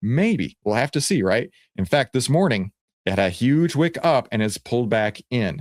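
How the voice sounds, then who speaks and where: Recorded very cleanly against a silent background with a dry, close sound and no echo, a man talks at a moderate pace in a medium pitch, with lively intonation and an animated tone. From Texas. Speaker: stock market educator. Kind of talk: market commentary video.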